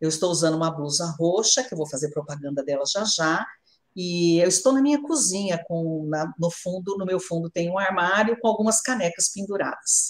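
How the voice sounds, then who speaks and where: Speaking at a moderate pace, a woman uses an unremarkable speaking voice with fairly low pitch and lively intonation. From Brazil, São Paulo state (São Carlos). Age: 50s. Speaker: journalist. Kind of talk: live interview. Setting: at home in her kitchen.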